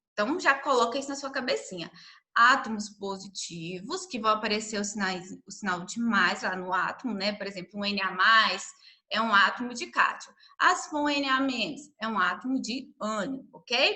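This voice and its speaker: Audible room echo surrounds a woman whose fairly high voice carries lively intonation. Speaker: science teacher. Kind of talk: lecture. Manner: slow.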